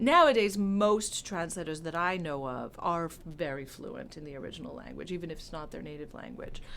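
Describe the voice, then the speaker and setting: Speaking at a fairly quick pace with audible room echo, a woman with an American accent uses lively intonation in a fairly low pitch. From California. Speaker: translator and professor. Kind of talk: interview.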